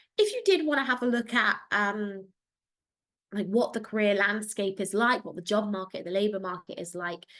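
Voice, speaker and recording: With a British accent, a woman talks at a moderate pace in a fairly high pitch. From England. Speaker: career advisor. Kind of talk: online Q&A session.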